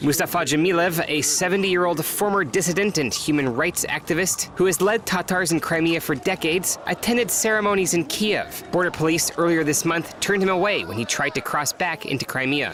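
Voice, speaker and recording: At a fairly quick pace with hardly any pauses, the speaker shows ordinary pitch variation amid noticeable background noise. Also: man, high pitch for a man. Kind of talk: TV news narration.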